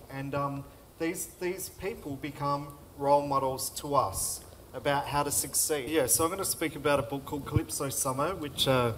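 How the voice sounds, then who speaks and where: Over noticeable background noise, a man with an Australian accent and fairly high pitch speaks with fairly even intonation. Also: moderate pace. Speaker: author. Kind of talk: panel talk and reading aloud.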